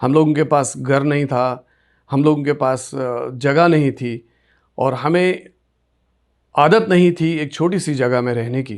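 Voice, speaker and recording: Pitch varies in an ordinary way as a man talks. Background is silent in this very clean recording. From Kashmir, Sopore area (Baramulla district). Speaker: radio presenter. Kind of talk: interview, life story.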